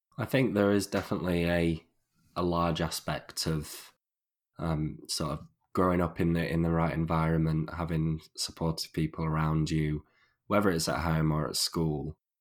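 Someone with a Northern English accent talks at a moderate pace with fairly even intonation. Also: man, very deep, low pitch for a man. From northern England. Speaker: podcast host. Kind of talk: casual interview chat. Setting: remote call. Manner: halting, many repetitions.

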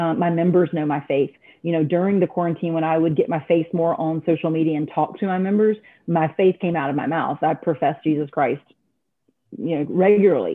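A woman with an American accent and a plain, everyday voice speaks fairly quickly, her fairly low pitch showing ordinary pitch variation. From North Carolina. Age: 50s. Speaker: gym franchise owner. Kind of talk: interview.

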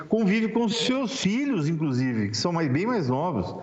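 Amid noticeable background noise and audible room echo, a man talks with a high pitch. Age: 60s. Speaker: public prosecutor. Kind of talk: interview. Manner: halting.

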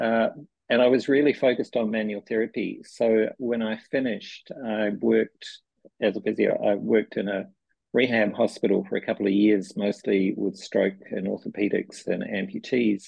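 Moderate-paced speech from a man with a New Zealand accent. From New Zealand, small town. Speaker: physiotherapy researcher. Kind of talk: interview.

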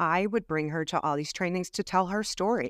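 In a very clean recording with a silent background and a dry, close sound with no echo, a woman with an American accent speaks in an unremarkable speaking voice, fairly low in pitch, with ordinary pitch variation. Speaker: retired police officer. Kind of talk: interview storytelling.

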